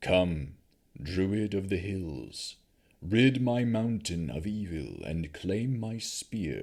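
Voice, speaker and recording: In a rumbling put-on character voice, a man speaks at a very slow pace with a fairly low pitch. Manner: commanding, solemn.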